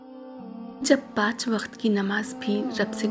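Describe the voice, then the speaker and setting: With music in the background, a woman speaks at a fairly high pitch in a monotone, flat intonation. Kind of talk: Islamic quotes reading.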